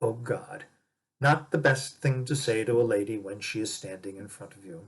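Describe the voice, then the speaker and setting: A man puts on a rumbling character voice at medium pitch, talking at a moderate pace with ordinary pitch variation and big swings in loudness. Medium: read story.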